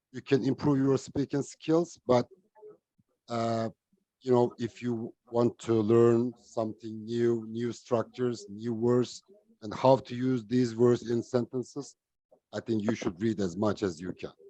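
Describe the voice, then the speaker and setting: The voice has a dark, mellow tone and a non-native accent, moving at a fairly slow pace. The sound is dry and close, with no echo. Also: man, medium pitch for a man. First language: not English. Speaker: online English club participant. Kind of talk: casual group discussion. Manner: halting.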